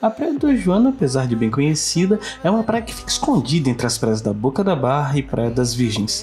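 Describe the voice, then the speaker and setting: With music in the background, a man talks at a fairly quick pace with hardly any pauses. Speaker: travel drone video narrator. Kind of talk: travel video voice-over.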